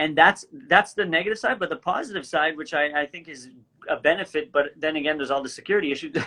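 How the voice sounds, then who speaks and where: A man with a slight French Canadian accent speaks at a very fast pace in a fairly high, bright, sharp tone. His pitch varies in an ordinary way, while his loudness swings widely. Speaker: actor and comedy creator. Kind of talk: casual chat.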